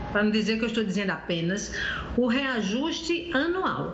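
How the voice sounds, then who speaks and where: A woman's high voice with very wide pitch swings, audible room echo and noticeable background noise. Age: 60s. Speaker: consumer rights advocate. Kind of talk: live TV interview. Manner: halting with self-corrections.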